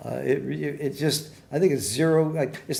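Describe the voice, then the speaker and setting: Speaking with an American accent, a man uses a fairly high pitch with vocal fry. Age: 80s+. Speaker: backgammon commentator. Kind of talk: live commentary. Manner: casual, joking.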